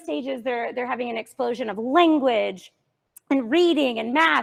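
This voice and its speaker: A woman speaks loudly at a high pitch, with very wide pitch swings. Her pace is moderate. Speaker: Montessori teacher. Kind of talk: parent workshop presentation. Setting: classroom with live audience, no microphone.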